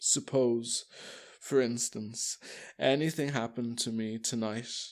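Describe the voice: Plain reading aloud is what the speaker does here.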